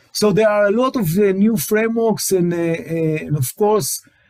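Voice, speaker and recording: Speaking with an Israeli accent, a man uses a high pitch and lively intonation. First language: Hebrew. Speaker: tech company CTO, webinar presenter. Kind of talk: webinar presentation. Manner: halting, many fillers and repetitions.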